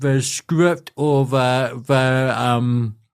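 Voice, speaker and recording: A man speaks with a New Zealand accent. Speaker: inspirational speaker. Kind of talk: casual interview conversation.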